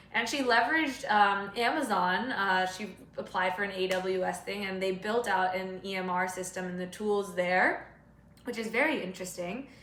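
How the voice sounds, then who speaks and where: Noticeable noise fills the background as a woman speaks at a moderate speed. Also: medium pitch for a woman, ordinary pitch variation. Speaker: public health graduate student. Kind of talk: casual talk to camera.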